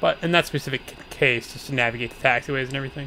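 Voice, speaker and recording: Soft-spoken and monotone, a man talks fairly quickly at a medium pitch, with noticeable background noise behind him. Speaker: gaming streamer. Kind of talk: live gameplay commentary.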